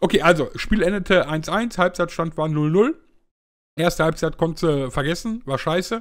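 This man's pitch sits high, with ordinary variation, and his pace is moderate. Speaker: football talk show host. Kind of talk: casual chat. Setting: online group voice call.

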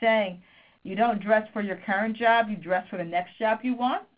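A woman with a normal speaking voice speaks at a fairly high pitch, her intonation lively. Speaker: business school professor. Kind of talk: webinar lecture. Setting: phone conference.

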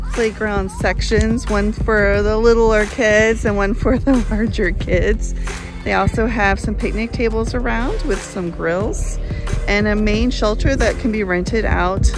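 A woman at a fairly slow pace, with clear background music and a dry sound free of echo. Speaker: park reviewer vlogger. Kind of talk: casual vlog tour commentary. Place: open country. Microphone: phone near.

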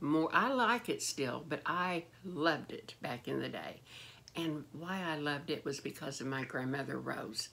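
Here a woman talks at a fairly slow pace with ordinary pitch variation. Her pitch is very deep and low. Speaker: beauty vlogger. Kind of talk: casual vlog chat. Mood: warm nostalgic. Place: home room. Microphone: phone near.

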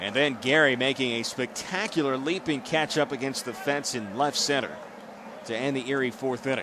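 This man has a fairly high pitch and talks at a moderate pace. Noticeable background noise runs under the recording. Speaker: baseball play-by-play announcer. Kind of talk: baseball play-by-play broadcast call.

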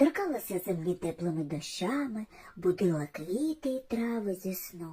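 Lively intonation in a natural reading voice

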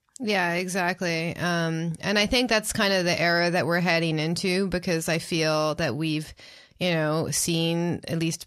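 The recording is very clean, with a silent background. A woman with a plain, everyday voice speaks at a fairly low pitch. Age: 30s. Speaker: podcast co-host. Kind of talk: casual chat.

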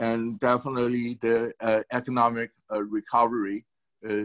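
With a quiet background, a man talks. His pace is fairly slow. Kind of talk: town hall remarks. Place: home room. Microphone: video call.

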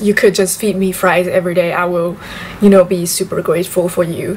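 A woman's voice against light background noise. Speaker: vlogger. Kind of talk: casual vlog chat. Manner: casual, chatty. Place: home room. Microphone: camera far.

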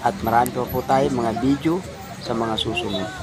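Lively intonation marks a man's moderate-paced speech, heard against noticeable background noise. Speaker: rally commentator and vlogger. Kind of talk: rally speech, on-the-spot commentary. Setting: outdoors at a rally in front of the Senate. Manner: urgent, rousing, exhorting the crowd; formal, earnest, declamatory.

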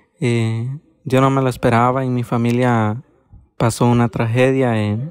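A man talks at a fairly slow pace, his medium pitch held in fairly even intonation. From Honduras, Copán. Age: 20s. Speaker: migrant asylum seeker. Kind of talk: personal testimony. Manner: halting, with fillers.

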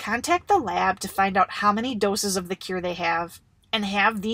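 A natural reading voice carries ordinary pitch variation.

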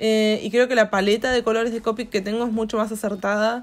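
Fairly quick and fairly high-pitched, a woman talks. Her intonation stays monotone and flat. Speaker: YouTuber and art teacher. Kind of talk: casual vlog narration while drawing.

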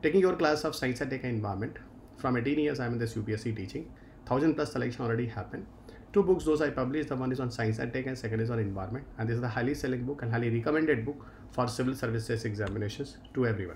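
Against light background noise, a man talks at a very fast pace with ordinary pitch variation. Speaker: exam-prep teacher. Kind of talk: lecture. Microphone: webcam.

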